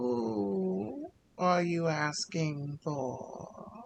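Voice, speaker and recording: A put-on character voice from a man, pitched fairly high with very wide pitch swings. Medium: actual play. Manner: formal, stiff.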